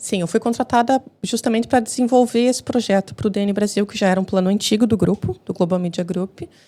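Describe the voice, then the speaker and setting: A woman with a Brazilian accent, medium pitch, a dark, mellow tone, ordinary pitch variation and a fairly quick pace, with hardly any pauses. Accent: Brazilian Portuguese, kept. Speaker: journalist and TV commentator. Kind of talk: podcast interview.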